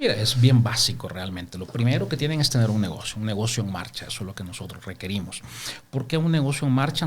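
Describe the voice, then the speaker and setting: A man speaks at medium pitch and a very fast pace. His voice is somewhat breathy. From El Salvador, Santa Ana. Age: 50s. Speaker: microfinance businessman. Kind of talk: interview.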